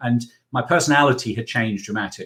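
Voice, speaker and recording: At a fairly quick pace, the English accent comes through with ordinary pitch variation on a very clean recording with a silent background. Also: man. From England. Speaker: accountant and business mentor. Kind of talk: interview.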